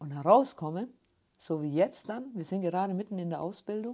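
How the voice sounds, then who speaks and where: In a Swabian accent, a woman with a dark, mellow tone speaks at a moderate pace with lively intonation in a very clean recording with a silent background. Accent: rolled R from Günzburg. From Ulm, Swabia (southern Germany). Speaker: city tour guide. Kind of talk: interview. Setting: studio.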